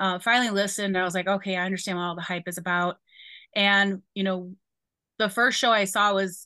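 A woman's medium-pitched voice with a bright, sharp tone, fairly quick pace, and a quiet background. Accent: Chicago. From Chicago. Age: 40s. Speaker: university staff member. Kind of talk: casual interview.

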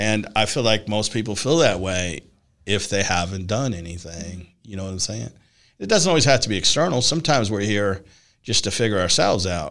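An unremarkable speaking voice from a man, fairly low in pitch, at a fairly quick pace with lively intonation, on a very clean recording with a silent background. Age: 60s. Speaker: podcast host and personal development coach. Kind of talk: casual interview chat.

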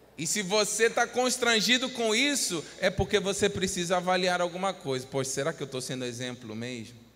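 With hardly any pauses, a man talks at a moderate pace in a high-pitched, bright, sharp tone. His raised, projected voice makes very wide pitch swings. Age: 30s. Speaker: pastor. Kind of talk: sermon.

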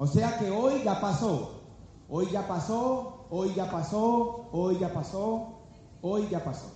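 Amid noticeable background noise and audible room echo, a man with a high pitch talks at a very slow pace. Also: ordinary pitch variation. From Colombia, Valle del Cauca (Palmira). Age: 30s. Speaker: business speaker. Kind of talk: motivational seminar talk. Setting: stage with live audience. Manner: animated.

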